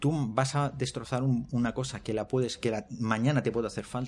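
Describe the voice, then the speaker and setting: At a moderate pace, a man speaks in a normal speaking voice with medium pitch and fairly even intonation. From Elche, Spain. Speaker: hiker, podcast guest. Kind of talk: casual chat.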